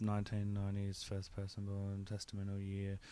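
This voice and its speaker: In a very clean recording with a silent background, a man delivers his words at a moderate pace. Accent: Australian. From New South Wales, Australia. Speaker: podcast host. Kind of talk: interview.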